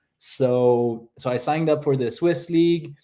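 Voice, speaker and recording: Against a quiet background, a man in a Quebec accent speaks at a fairly slow pace with ordinary pitch variation. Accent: French Canadian accent in English. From French Canada. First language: French. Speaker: paraglider athlete. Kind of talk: interview.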